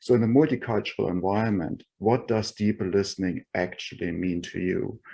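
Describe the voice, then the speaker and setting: Speaking at a fairly quick pace, a man with a dark, mellow tone and fairly low pitch shows ordinary pitch variation. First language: not English. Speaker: roundtable participant, tech executive. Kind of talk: online roundtable discussion. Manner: halting, many fillers.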